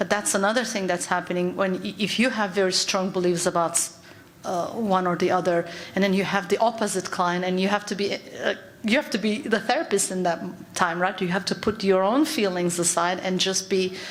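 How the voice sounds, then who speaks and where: Speaking with a Turkish accent, a woman talks at medium pitch and a fairly quick pace with ordinary pitch variation. Noticeable background noise and audible room echo are present. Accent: Turkish accent, kept. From Turkey. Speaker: psychologist. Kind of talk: conference talk. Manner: halting.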